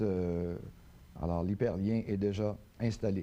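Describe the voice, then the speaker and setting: Here a man talks at a fairly slow pace. His tone is dark and mellow. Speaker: webmaster. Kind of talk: TV tutorial.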